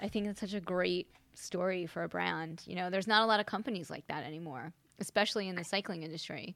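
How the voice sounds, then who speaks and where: The recording is very clean with a silent background. A woman speaks at a moderate pace in a bright, sharp tone. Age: 50s. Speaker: podcast host. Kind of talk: interview.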